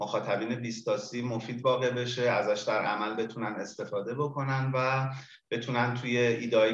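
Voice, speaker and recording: A man at a medium pitch is heard with noticeable background noise and audible room echo. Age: 40s. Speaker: business consultant and trainer. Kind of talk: interview.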